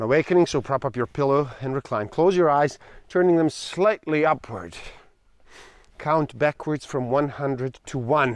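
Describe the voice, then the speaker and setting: In a dry, close recording with no echo and a quiet background, a man speaks in an ordinary speaking voice, his fairly high pitch showing ordinary variation. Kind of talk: guided meditation, reading aloud instructions from a book. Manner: slow, calm, soothing, measured with deliberate pauses.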